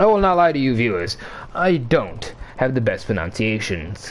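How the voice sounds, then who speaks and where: A man at a medium pitch, an ordinary speaking voice, at a moderate pace. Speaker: game commentator. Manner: playful, self-deprecating.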